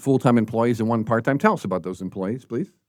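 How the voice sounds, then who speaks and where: A man's animated voice at a very fast pace, in a very clean recording with a silent background. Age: 60s. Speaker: podcast host. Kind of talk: interview.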